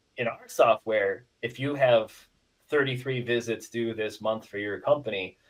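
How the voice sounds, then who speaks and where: At a moderate pace, a man with an American accent speaks in a medium pitch with fairly even intonation. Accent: Midwestern; called weird, close to Canadian. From Iowa, US Midwest. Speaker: software company representative. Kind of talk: casual podcast interview. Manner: filler-heavy, repetitive.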